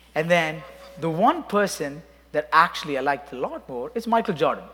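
A man speaks with a non-native accent. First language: not English. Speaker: worship leader. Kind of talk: sermon. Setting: church. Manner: halting.

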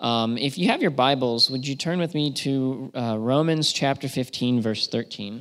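A man with an American accent and a normal speaking voice talks at a moderate pace with hardly any pauses, his medium pitch varying in an ordinary way. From south-central Pennsylvania (York County). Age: 30s. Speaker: missionary. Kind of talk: testimony. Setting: church.

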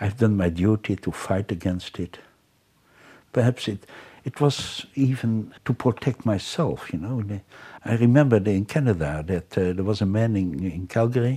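Someone with a Dutch accent speaks at a moderate pace with lively intonation and a dark, mellow, somewhat breathy tone on a very clean recording with a silent background. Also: man. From Netherlands. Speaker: criminologist. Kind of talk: interview. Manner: halting.

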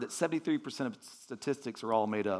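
This voice carries a warm tone and an American accent. Its pitch swings very widely. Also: man. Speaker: visiting pastor. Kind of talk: sermon. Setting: church. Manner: conversational, warm, filler-heavy.

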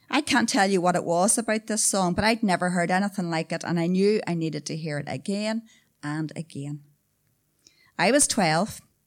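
Very cleanly recorded against a silent background, a woman with a Northern Irish accent speaks at a moderate pace and medium pitch with ordinary pitch variation. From Newry, Northern Ireland. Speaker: storyteller. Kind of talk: storytelling performance. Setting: stage with audience.

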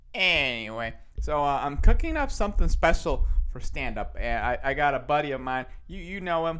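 A man at a moderate pace with big swings in loudness, in audible room echo. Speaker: podcast host. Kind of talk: casual monologue. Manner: energetic, projecting.

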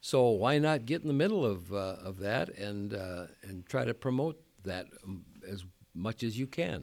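Lively intonation marks a normal speaking voice delivered at a fairly slow pace on a very clean recording with a silent background. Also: man, fairly low pitch for a man. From US Midwest, South Dakota. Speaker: retired pastor. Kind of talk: interview.

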